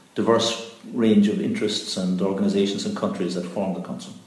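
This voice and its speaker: In a room with audible echo, a man speaks with a fairly low pitch and monotone, flat intonation. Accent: Cork. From Ireland, East Cork. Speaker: environmental organisation executive. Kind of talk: interview.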